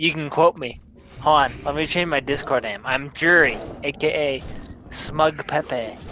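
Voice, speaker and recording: The speaker has an American accent and a fairly slow pace. Music plays in the background. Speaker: gamer streamer. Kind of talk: casual chat. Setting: voice chat. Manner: loud.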